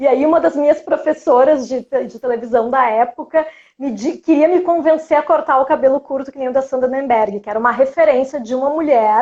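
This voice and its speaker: The voice has a dark, mellow tone and a strong Porto Alegre accent. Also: woman, high pitch for a woman, ordinary pitch variation. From Brazil, Porto Alegre. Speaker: journalist and cultural producer. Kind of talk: interview. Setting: livestream.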